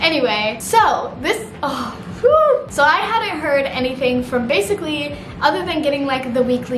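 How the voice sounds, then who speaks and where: With an American accent, a woman talks at a moderate pace in a high pitch over noticeable background noise. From Missouri. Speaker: YouTuber. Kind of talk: casual vlog talk to camera. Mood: earnest, supportive. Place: home room.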